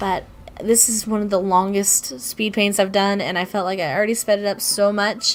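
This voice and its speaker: With music in the background, a woman at a medium pitch speaks at a fairly quick pace. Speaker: YouTube artist. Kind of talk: voiceover commentary on speedpaint. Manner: halting, many fillers.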